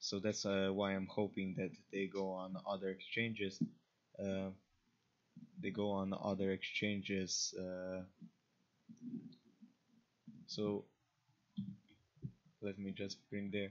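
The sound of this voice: A man's low voice with an Eastern European accent, slow and flat in a monotone, broken by long, frequent pauses. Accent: Slavic.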